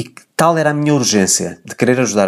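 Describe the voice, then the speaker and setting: This voice carries a European Portuguese accent. Its pitch varies in an ordinary way. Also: man. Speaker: podcast host, personal development coach. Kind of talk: solo monologue, personal update.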